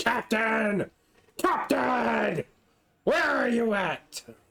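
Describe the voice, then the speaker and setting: A put-on character voice from a man, very slow and high in pitch. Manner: calling out, pirate style.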